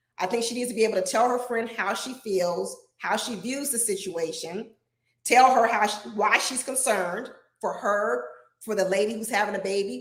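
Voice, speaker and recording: A fairly high-pitched woman's voice in an animated tone at a fairly quick pace, with audible room echo. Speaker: relationship advice show host. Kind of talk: live stream advice talk. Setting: live broadcast. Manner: loud.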